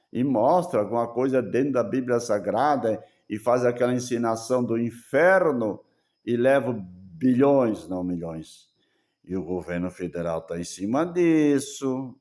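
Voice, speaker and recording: Speaking at a fairly slow pace with lively intonation, a man of medium pitch talks with a German accent on a very clean recording over a silent background. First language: German (speaking Portuguese). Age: 70s. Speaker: preacher. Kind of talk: sermon. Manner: halting.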